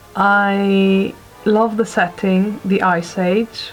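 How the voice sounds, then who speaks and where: Music plays in the background as a woman speaks. Her pitch is medium. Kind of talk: casual talk to camera, film review.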